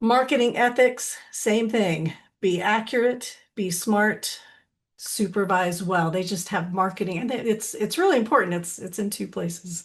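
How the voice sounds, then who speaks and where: Somewhat breathy, a woman of medium pitch speaks at a fairly slow pace with ordinary pitch variation. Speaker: licensed counselor and supervisor trainer. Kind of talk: webinar presentation.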